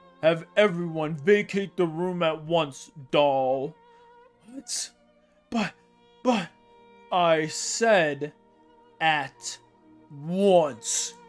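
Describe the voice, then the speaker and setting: A put-on character voice speaks at a very slow pace with long, frequent pauses while faint music plays in the background. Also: man, high pitch for a man. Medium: read story. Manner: cold, imperious.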